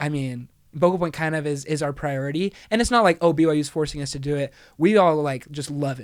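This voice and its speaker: Over a very clean recording with a silent background, a man speaks at a fairly quick pace in a fairly high pitch with ordinary pitch variation. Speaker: college a cappella singer. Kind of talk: casual chat.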